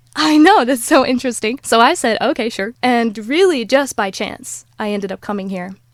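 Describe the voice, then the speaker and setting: On a very clean recording with a silent background, a woman with an unremarkable speaking voice, a fairly high pitch and lively intonation talks at a moderate pace with hardly any pauses. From United States. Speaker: life coach and influencer. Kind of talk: podcast interview.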